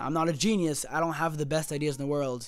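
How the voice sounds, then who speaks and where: A man speaks in an animated tone. His pitch is fairly high. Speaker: gaming video creator. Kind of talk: casual commentary video. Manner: fast.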